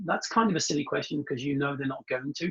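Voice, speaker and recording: A man is speaking. He has a British accent. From UK. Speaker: translation industry consultant. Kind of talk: interview storytelling. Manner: fast; hesitant fillers.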